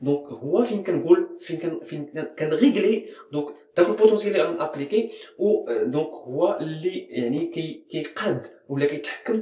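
Audible room echo surrounds a man who speaks with a Moroccan accent in a high-pitched voice. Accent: Moroccan Arabic (Darija). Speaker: chemistry teacher. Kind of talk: educational lecture. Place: classroom. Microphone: phone near.

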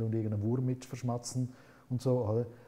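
A man's somewhat breathy voice, dark and mellow in tone, with fairly even intonation. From Switzerland. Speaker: author and philosopher; interview guest. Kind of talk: interview. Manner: halting. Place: studio. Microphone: lapel.

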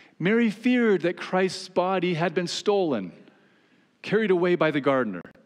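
A man talks at a moderate pace, his pitch high and his intonation lively.

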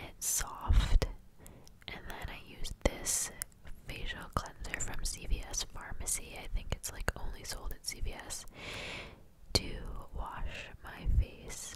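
Whispering at a very slow pace with long, frequent pauses, the speaker swings widely in loudness over noticeable background noise. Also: woman. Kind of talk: ASMR voiceover. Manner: whispered.

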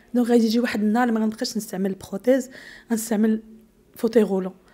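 A woman talks at a very fast pace with long, frequent pauses. Her fairly high voice has a dark, mellow tone and monotone, flat intonation. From Morocco. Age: 40s. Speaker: bombing survivor; interviewee. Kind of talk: testimony. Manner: halting. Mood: emotional, pleading. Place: studio. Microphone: handheld.

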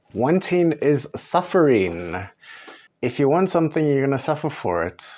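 At a fairly slow pace, a man is speaking. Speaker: music creator giving advice. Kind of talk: tutorial. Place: home room.

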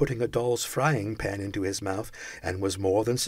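Natural voice, reading

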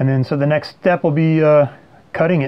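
Speaking with fairly even intonation, a man delivers the lines. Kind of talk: tutorial. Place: home room. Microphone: phone near.

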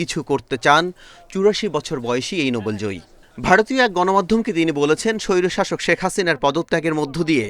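A man speaks in an ordinary speaking voice with a fairly high pitch. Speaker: TV news reporter. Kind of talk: scripted news narration.

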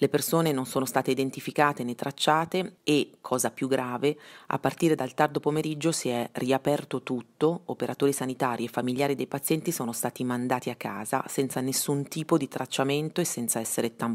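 A woman's voice sits at a very deep, low pitch and moves at a fairly quick pace with fairly even intonation. The sound is dry and close with no echo, on a very clean recording with a silent background. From Bergamo, northern Italy. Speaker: investigative journalist. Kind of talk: interview. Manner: hesitant, many fillers.

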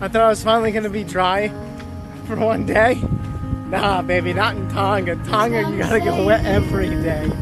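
Clear music plays in the background of a man's voice. The sound is dry, with no echo. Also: moderate pace. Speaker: travel vlogger. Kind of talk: casual vlog chat. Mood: amused, upbeat. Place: street. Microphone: phone near.

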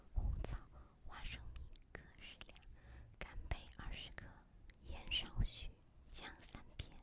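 A woman whispers fairly slowly, with long, frequent pauses. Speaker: ASMR creator. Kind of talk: ASMR recipe reading. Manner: whispered. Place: home room. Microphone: studio mic.

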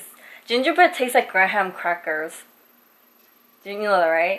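Her pitch is medium for a woman, and she uses ordinary pitch variation. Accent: Korean. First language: Korean. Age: 20s. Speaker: vlogger. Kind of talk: casual chat. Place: kitchen. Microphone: phone near.

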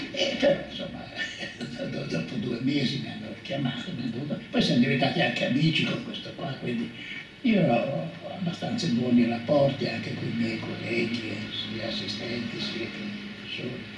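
Light background noise and audible room echo around a man talking at a moderate pace. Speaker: retired professor and environmentalist. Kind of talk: interview answer. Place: home room.

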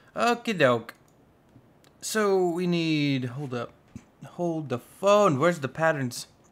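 With long, frequent pauses, a man talks at a very slow pace, his fairly high voice full of lively intonation. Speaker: gaming YouTuber. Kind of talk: casual gameplay commentary. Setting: recorded voiceover while playing. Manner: animated, jokey.

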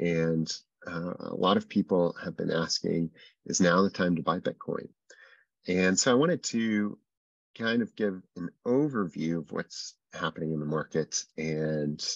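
A man's very deep, low voice at a fairly slow pace, with ordinary pitch variation, a dry sound with no echo and a quiet background. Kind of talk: webinar presentation. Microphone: video call.

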